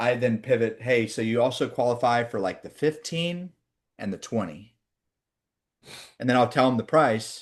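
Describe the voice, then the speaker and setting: With a Midwestern accent, a man talks at a moderate pace and medium pitch. His tone is animated, his intonation lively, and the background quiet. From Oklahoma. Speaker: sales trainer. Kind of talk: training session with role play.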